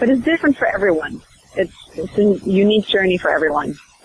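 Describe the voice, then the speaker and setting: With noticeable background noise behind it, the speech moves at a fairly quick pace. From Sweden. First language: Swedish. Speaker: actress. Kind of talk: interview.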